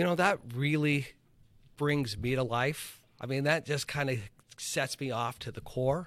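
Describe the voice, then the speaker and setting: A man's fairly high voice at a fairly slow pace, with ordinary pitch variation, on a very clean recording with a silent background. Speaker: high school government teacher, former congressional aide. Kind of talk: interview conversation. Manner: gets louder and excited on issues he cares about.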